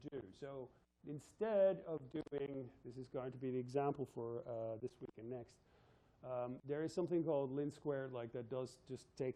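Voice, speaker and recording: A man at a medium pitch with ordinary pitch variation. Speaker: university physics lecturer. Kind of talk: lecture. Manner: fast.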